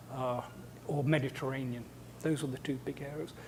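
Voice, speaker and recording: With an English accent, a man speaks in a fairly high pitch, his somewhat breathy voice carrying a dark, mellow tone and fairly even intonation. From England. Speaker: scientist and lecturer. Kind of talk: lecture. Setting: seminar with audience. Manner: hesitant with repetitions.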